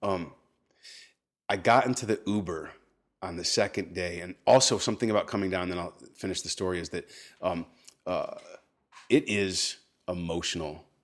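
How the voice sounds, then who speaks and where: In an American accent, a man with very deep, low pitch and fairly even intonation speaks at a moderate pace with long, frequent pauses and big swings in loudness, in a very clean recording with a silent background. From Texas. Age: 40s. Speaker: spoken word poet. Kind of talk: casual chat. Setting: home kitchen.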